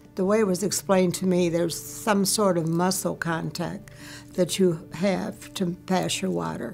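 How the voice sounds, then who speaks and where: A woman speaks at a moderate pace in a fairly low pitch, with music playing in the background. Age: 80s+. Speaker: bladder cancer survivor. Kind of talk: interview answer.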